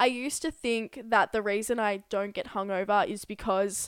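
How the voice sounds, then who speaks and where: A woman with an Australian accent speaks at a moderate pace, medium pitch and fairly even intonation on a very clean recording with a silent background. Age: 20s. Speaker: podcast co-host. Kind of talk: casual chat.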